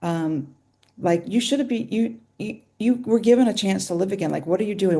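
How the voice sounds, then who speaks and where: A woman talks at a fairly quick pace. Her tone is dark and mellow, and her intonation is lively. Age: 60s. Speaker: nutritional therapist. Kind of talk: interview testimony. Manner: halting.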